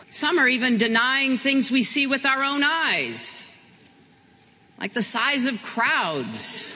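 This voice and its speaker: A woman's raised, projected voice, high in pitch, at a very slow pace with ordinary pitch variation and noticeable background noise. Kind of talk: political speech.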